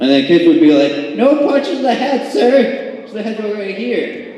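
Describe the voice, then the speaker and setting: At a moderate pace, a man talks in a high pitch, with audible room echo and noticeable background noise. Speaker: stand-up comedian. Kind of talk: stand-up. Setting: small venue with a tiny audience.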